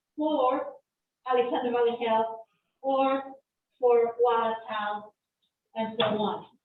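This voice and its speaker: A woman speaks loudly. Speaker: community advisory group member. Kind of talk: public meeting discussion.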